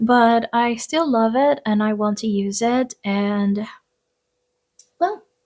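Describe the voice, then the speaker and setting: Speaking with a non-native accent, a woman uses a fairly high pitch and ordinary pitch variation in a very clean recording with a silent background. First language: not English. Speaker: tarot reader and craft YouTuber. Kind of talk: casual monthly vlog talk to camera. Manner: hesitant, many fillers.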